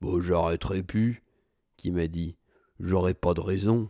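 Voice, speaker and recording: In a put-on character voice, a man speaks very deep and low at a fairly slow pace with fairly even intonation. The sound is dry and close, with no echo. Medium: read story. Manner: simple, good-natured.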